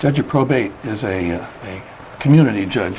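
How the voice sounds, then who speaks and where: A man with an American accent speaks at a moderate pace over noticeable background noise. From upstate New York (Schenectady). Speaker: retired probate judge, ethics board member. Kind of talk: interview.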